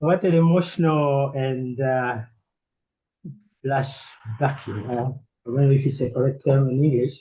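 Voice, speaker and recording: A man speaks at a fairly slow pace and medium pitch, somewhat breathy. His tone is dark and mellow, his intonation fairly even. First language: not English. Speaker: audience participant, war survivor. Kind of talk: audience question. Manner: halting. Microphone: problem microphone.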